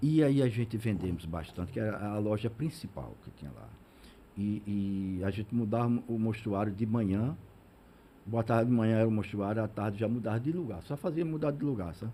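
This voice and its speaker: Speaking fairly quickly with lively intonation, a man has a dark, mellow, somewhat breathy tone. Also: fairly low pitch for a man. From Sergipe interior, Brazil (Ribeirópolis). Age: 60s. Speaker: business founder. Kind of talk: interview. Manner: halting, many repeated words.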